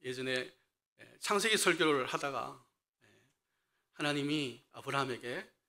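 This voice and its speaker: On a very clean recording with a silent background, a man speaks fairly slowly in a bright, sharp tone, with ordinary pitch variation, big swings in loudness, and long, frequent pauses. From Daegu, South Korea (Gyeongsang). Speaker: associate pastor. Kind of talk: sermon. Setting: church. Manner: frequent fillers (예, 에).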